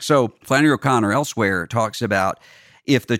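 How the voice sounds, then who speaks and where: Medium-pitched male voice with a Southern US accent, dry and close with no echo, in a very clean recording over a silent background. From US South, Mississippi Gulf Coast. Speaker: podcast host, religious commentator. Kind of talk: solo podcast monologue on music and religion. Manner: halting with frequent fillers and repetitions.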